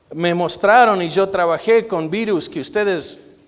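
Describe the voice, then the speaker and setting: Here a man speaks with a high pitch. His pace is very slow. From Argentina. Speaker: guest preacher, physician. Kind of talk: sermon. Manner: loud.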